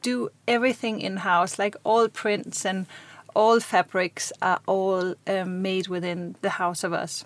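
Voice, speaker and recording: A woman's very slow speech in a Danish accent, with ordinary pitch variation and a dry, close sound with no echo. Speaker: fashion designer. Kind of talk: interview. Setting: studio.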